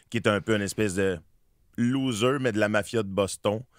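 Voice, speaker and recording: A strong Quebec accent with fairly even intonation, on a very clean recording with a silent background and a dry, close sound with no echo. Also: man. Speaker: actor. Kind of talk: radio interview. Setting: studio. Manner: hesitant, many repetitions.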